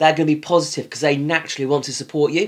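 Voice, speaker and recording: With a British accent, a man talks in a fairly high pitch. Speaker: business coach. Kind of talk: tutorial. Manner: fast.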